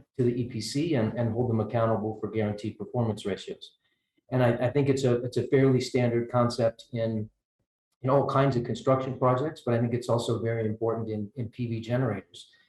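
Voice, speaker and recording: A man with an American accent speaks at a fairly quick pace and a medium pitch. His voice is somewhat breathy, with monotone, flat intonation. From United States. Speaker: energy researcher, panelist. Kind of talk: panel discussion. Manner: halting, many fillers and repetitions.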